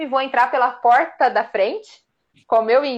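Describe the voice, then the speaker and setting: Speaking at a moderate pace, a woman uses a high voice. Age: 30s. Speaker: amateur marathon runner. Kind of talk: casual chat.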